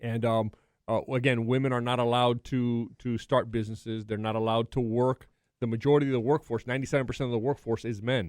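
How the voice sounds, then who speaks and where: Very fast speech from a man at medium pitch, the intonation fairly even. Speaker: sports podcast co-host. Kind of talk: casual chat. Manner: halting, many fillers and restarts.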